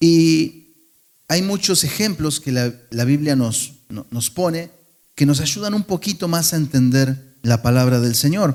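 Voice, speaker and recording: Fairly slow delivery with ordinary pitch variation. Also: man. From Argentina. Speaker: pastor. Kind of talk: sermon. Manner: conversational, with fillers and restarts.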